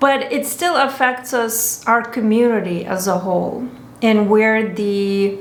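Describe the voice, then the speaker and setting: Here a woman speaks with a Lithuanian accent. Room echo is audible. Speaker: spa owner. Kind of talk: personal commentary monologue. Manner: halting.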